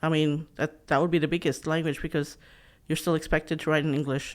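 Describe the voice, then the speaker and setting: Woman with a very deep, low pitch on a very clean recording with a silent background. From Philippines. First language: Philippine regional dialect. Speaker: PhD candidate and children's author. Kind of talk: podcast interview. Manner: hesitant, many fillers and restarts.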